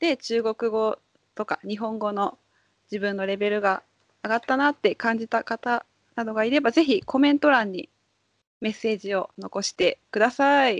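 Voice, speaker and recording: A woman at a moderate pace, with ordinary pitch variation, against a quiet background. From Japan. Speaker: Japanese language teacher. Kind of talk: casual chat. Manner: animated.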